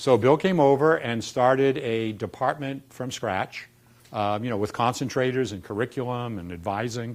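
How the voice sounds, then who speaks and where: With a Boston accent, a man talks at a moderate pace and medium pitch, with ordinary pitch variation. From Boston, US. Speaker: dean of a public health school. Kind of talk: informal staff talk on school history.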